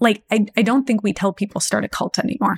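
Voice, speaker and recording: A somewhat breathy woman with an American accent, fairly high in pitch, fairly even intonation, in a dry, close sound with no echo. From Texas, US. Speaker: app founder and astrologer. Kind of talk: interview.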